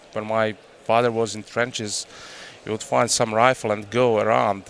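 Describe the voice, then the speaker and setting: Noticeable background noise sits behind a man speaking at medium pitch and a moderate pace in a flat monotone. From Croatia. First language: Croatian. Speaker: hunting guide and outfitter. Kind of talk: casual interview chat. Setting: trade show. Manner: halting.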